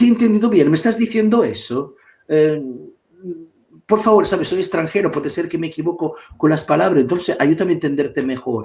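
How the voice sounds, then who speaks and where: In an Italian accent, a man with a high pitch talks at a fairly quick pace with lively intonation. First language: Italian (speaking Spanish). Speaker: psychotherapist. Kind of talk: live online talk. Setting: live stream video call. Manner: halting, with repetitions.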